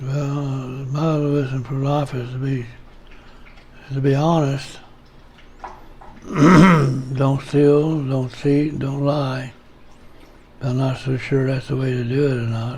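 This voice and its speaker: Amid noticeable background noise and audible room echo, a man speaks very slowly in a fairly high pitch, his intonation monotone and flat, with long, frequent pauses. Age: 80s+. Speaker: elderly father being interviewed. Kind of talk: casual family chat. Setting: at home.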